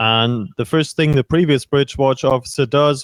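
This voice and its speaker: At a moderate pace, a man speaks with a German accent and fairly even intonation. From Germany. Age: 30s. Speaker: ship's chief officer. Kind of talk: interview Q&A with students.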